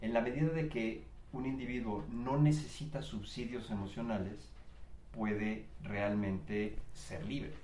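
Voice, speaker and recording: A man talks at a medium pitch while background noise stands out and the room echoes audibly. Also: ordinary pitch variation, fairly slow pace. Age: 50s. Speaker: podcast guest. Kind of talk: casual chat. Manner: halting.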